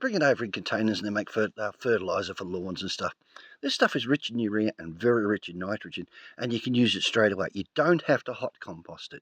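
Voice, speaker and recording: The sound is dry and close, with no echo and a quiet background. A man with an Australian accent speaks at a fairly quick pace. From Australia, rural. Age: 50s. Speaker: homesteader. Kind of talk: tutorial. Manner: casual, conversational.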